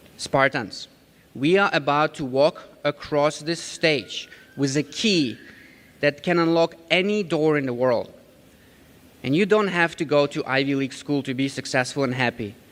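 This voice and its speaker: A man with a slight Ukrainian accent, fairly high pitch, ordinary pitch variation, a moderate pace, and long, frequent pauses. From Ukraine. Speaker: community college graduate, commencement speaker. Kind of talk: commencement speech. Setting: stage at graduation ceremony with audience. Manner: rousing, animated.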